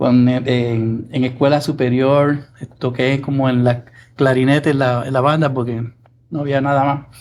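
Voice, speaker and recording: In a Puerto Rican accent, a man speaks fairly slowly with monotone, flat intonation. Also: medium pitch for a man. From Puerto Rico (Arecibo). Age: 60s. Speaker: music producer. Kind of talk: interview.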